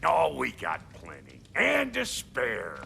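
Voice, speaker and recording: In a raspy, put-on character voice, a man speaks at a very slow pace with clear background noise. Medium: video game. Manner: gruff, brash.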